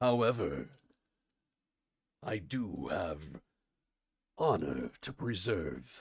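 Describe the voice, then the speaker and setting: Putting on a raspy character voice, a man speaks at a very slow pace with fairly low pitch, very wide pitch swings, and long, frequent pauses. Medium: actual play. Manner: formal, dignified.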